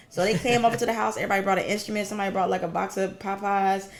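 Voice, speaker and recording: A woman with an American accent speaks very fast in a monotone, flat intonation. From US South. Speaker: singer and performer. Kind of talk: interview. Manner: casual, conversational.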